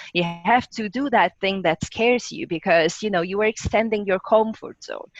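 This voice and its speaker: A woman's voice at a moderate pace, with ordinary pitch variation and a dry, close sound free of echo. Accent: strong Italian. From Italy. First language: Italian. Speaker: rocket scientist. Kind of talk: interview.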